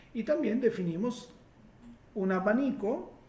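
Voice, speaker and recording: A man with a high pitch speaks at a fairly slow pace. His intonation is lively, and room echo is audible. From Italy. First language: Italian (speaking Spanish). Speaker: hypnosis therapist. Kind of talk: live Q&A workshop. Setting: live stream. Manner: halting, many fillers.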